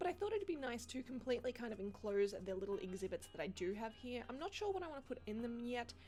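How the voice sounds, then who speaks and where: A woman's high voice with an Australian accent, very fast with hardly any pauses, pitch swinging very widely, music playing behind. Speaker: gaming youtuber. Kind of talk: gameplay commentary. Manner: casual, chatty.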